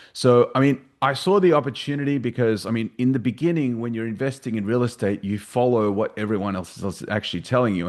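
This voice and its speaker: A man talks with an Australian accent and ordinary pitch variation. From Australia, Sydney. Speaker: real estate investor. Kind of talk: podcast interview.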